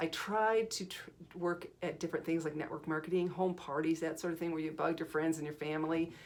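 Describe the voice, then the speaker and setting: A woman's fairly low voice at a fairly quick pace. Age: 60s. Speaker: video creator. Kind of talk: personal testimony. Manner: halting.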